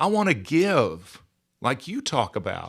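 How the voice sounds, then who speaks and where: A man talks with a Southern US accent. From US South, Georgia. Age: 60s. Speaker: podcaster and author. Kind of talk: casual chat.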